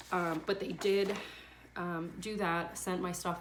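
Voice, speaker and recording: The woman's fairly low voice carries an audible room echo. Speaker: vlogger sharing surrogacy journey. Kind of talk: casual vlog update. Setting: at home on bedroom floor. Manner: fast.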